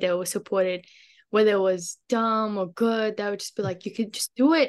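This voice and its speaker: A woman speaks at a very fast pace in an Australian accent. The background is quiet. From Australia, Queensland (Brisbane); born in Afghanistan. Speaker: community advocate. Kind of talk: interview.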